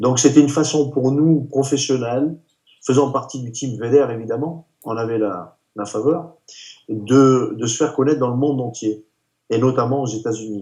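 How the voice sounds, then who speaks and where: Speaking at a moderate pace, a man has a dark, mellow tone and pitch that varies in an ordinary way. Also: medium pitch for a man. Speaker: retired professional bodybuilder. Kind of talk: interview. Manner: halting.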